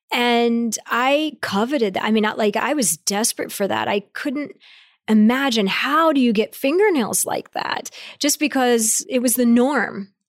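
A woman with a Midwestern US accent speaks at a high pitch with ordinary pitch variation. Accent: US Midwest. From rural Ohio. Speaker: company CEO. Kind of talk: interview. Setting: in person.

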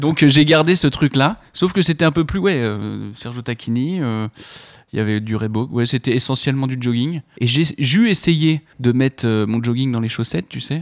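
This man has an unremarkable speaking voice at a medium pitch, with lively intonation and a moderate pace. The recording is very clean, with a silent background. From Paris region, France. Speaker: actor. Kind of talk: casual chat.

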